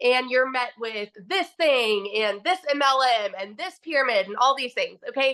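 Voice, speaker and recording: Projecting a raised voice, a woman speaks with a bright, sharp, animated tone and lively intonation at a high pitch. She keeps a moderate pace with hardly any pauses. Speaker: stay-at-home mom sharing income testimony. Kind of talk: testimony.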